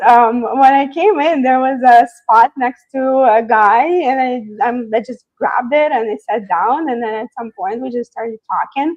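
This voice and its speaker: A woman talks at a moderate pace with a non-native accent. Her pitch is high, with ordinary variation. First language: not English. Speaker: software engineer. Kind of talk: interview. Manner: hesitant, many fillers.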